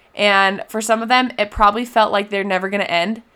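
The delivery is animated and fairly quick. Its tone is bright and sharp. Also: woman. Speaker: solo podcast host. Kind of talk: solo podcast monologue. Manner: fast.

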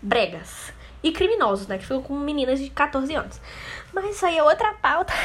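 Over noticeable background noise, a woman talks at a moderate pace in a high pitch with very wide pitch swings. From Brazil, interior of Rio de Janeiro state. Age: 20s. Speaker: podcaster. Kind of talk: casual monologue.

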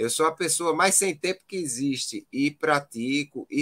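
With a bright, sharp tone, a man speaks at a fairly high pitch and with fairly even intonation, the sound dry and close with no echo. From Pernambuco, Brazil. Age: 40s. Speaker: physician and marathon runner. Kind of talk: casual interview.

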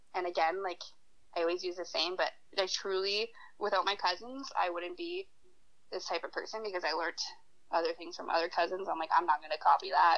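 A woman with a Canadian accent talks at a very fast pace and a medium pitch, with fairly even intonation and long, frequent pauses. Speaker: university student. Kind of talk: casual chat.

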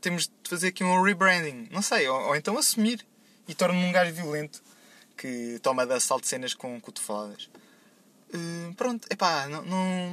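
Bright and sharp in tone, a man's high voice moves at a moderate pace with very wide pitch swings. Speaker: podcast segment contributor. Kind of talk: casual monologue.

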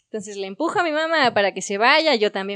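A woman uses an ordinary speaking voice, fairly high in pitch. The sound is dry and close with no echo, over a quiet background. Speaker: podcast host. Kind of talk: casual chat among friends.

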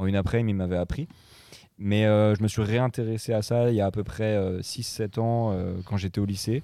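This man has a dark, mellow tone and a fairly low pitch. His intonation stays fairly even at a moderate pace. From Morocco (French expatriate family). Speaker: DJ and music producer. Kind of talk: casual chat.

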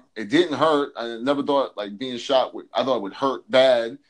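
A man speaks at a fairly quick pace in a normal speaking voice, his pitch medium. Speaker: health and fitness coach. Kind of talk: casual chat.

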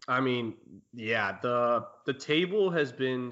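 This man has an unremarkable speaking voice. His pitch is medium with ordinary variation. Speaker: podcast host. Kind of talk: casual chat.

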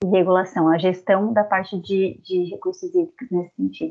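A woman talks in a medium pitch. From southern Santa Catarina, Brazil. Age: 30s. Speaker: environmental engineer. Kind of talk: interview. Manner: halting.

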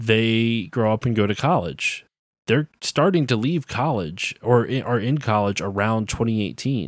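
A man with an unremarkable speaking voice and medium pitch talks at a fairly slow pace with lively intonation, on a very clean recording with a silent background. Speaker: podcast host, game developer. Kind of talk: casual chat.

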